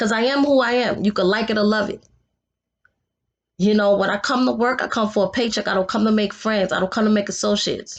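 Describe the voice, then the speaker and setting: Talking at a very fast pace, a woman with a New York accent sounds animated. Her pitch is fairly high, and the background is quiet. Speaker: vlogger. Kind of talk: casual vlog monologue.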